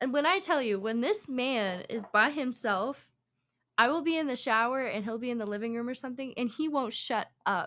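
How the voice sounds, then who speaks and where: In a very clean recording with a silent background, a woman talks loudly at a moderate pace in a high voice, her tone animated and her pitch variation ordinary. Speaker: podcast guest. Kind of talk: casual chat.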